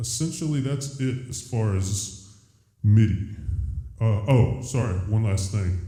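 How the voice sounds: A man talks at a slow pace in a dark, mellow tone.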